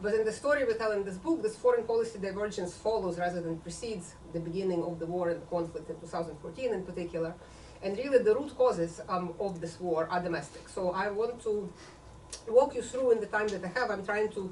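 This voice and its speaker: Very fast speech with noticeable background noise and audible room echo. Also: woman, medium pitch for a woman, ordinary pitch variation. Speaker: author and political scientist. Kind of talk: book talk lecture.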